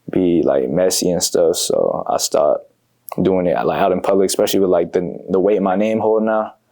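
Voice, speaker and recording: A man with an American accent speaks at a moderate pace with very even loudness. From Bay Area, California (Fairfield). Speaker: comedian. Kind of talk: casual interview.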